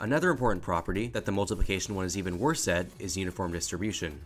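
Music in the background behind a man's very fast talking. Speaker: educational video narrator. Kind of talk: educational voiceover narration.

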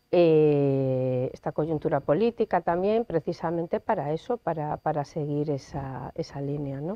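The delivery is fairly slow, with hardly any pauses and ordinary pitch variation. The sound is dry with no echo. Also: woman, very deep, low pitch for a woman. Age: 40s. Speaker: lawyer. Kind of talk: interview. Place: studio. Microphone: lapel.

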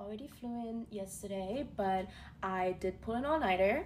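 A somewhat breathy woman's voice with ordinary pitch variation over light background noise. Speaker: beauty creator. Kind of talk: casual get-ready-with-me vlog chat. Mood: excited, upbeat. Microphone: phone near.

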